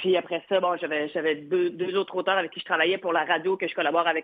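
Talking at a very fast pace, a woman uses a medium pitch. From Quebec, Gaspésie. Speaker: comedian. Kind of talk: interview. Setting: phone call.

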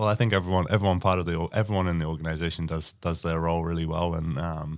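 A man with a New Zealand accent, very deep and low in pitch, very fast with fairly even intonation, on a very clean recording with a silent background. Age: 30s. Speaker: basketball player. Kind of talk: casual interview. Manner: halting, many fillers.

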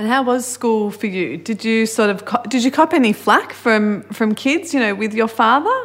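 A woman with an Australian accent, fairly high-pitched, at a moderate pace with hardly any pauses, over noticeable background noise. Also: ordinary pitch variation. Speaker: podcast host. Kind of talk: interview.

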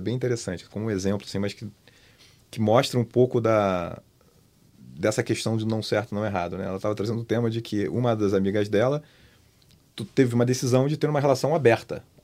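A man with a fairly low pitch and a dark, mellow tone talks at a very fast pace. His pitch varies in an ordinary way on a very clean recording with a silent background. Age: 50s. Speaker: media company director. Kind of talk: casual chat.

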